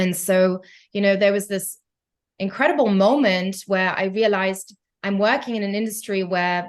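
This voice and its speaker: A woman with a slight German accent, medium pitch and fairly even intonation, against a quiet background. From Germany. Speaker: concert pianist and tech entrepreneur. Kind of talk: podcast interview. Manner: hesitant, many fillers.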